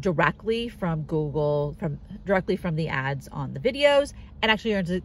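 A woman speaks at a moderate pace. The sound is dry, with no echo. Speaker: car-living nomad vlogger. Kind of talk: casual vlog chat. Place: car. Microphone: phone near.

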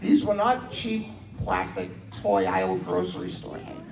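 Over noticeable background noise, a man talks at a fairly slow pace. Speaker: stand-up comedian. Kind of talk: stand-up comedy set with audience laughter. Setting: stage with audience. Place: hall.

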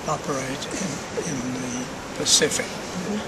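A man speaks at a fairly slow pace. Loud background noise runs under his voice. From New Zealand. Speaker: war veteran. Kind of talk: interview answer. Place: hall.

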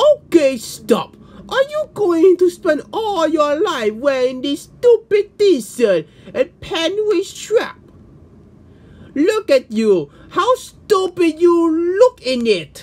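This is a put-on character voice at an extremely high pitch. It moves at a very slow pace with very wide pitch swings. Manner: sneering, bullying.

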